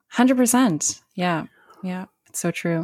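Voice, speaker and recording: A woman with a Canadian accent, an unremarkable speaking voice, lively intonation and a moderate pace. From Canada, northern New Brunswick (Bathurst). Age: 30s. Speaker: theatre production manager. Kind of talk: casual interview chat. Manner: laughs often, many fillers.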